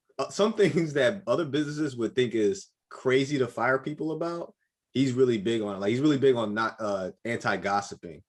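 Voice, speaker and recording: Speaking at a fairly quick pace, a man with a medium pitch makes very wide pitch swings. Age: 30s. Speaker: podcast host and military service member. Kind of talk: casual interview chat.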